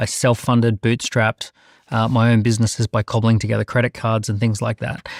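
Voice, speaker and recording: At a fairly quick pace, a man with a medium pitch speaks in a flat monotone, with a dry, close sound, no echo, and a very clean recording over a silent background. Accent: Australian. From Australia. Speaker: entrepreneur. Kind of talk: panel discussion.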